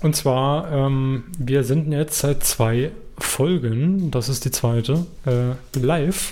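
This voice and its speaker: This man's voice is fairly high in pitch, with a dark, mellow tone and ordinary pitch variation. He speaks at a very slow pace and at a very even loudness. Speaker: podcast co-host. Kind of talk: casual chat.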